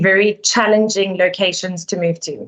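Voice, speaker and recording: A woman with a South African accent, at a moderate pace. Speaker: relocation company director. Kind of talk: webinar presentation.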